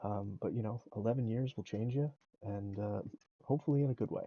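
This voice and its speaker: This man talks at a fairly quick pace, his pitch medium for a man with ordinary variation. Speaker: video game streamer. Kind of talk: live gameplay commentary. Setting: live stream. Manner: loud; casual, rambling.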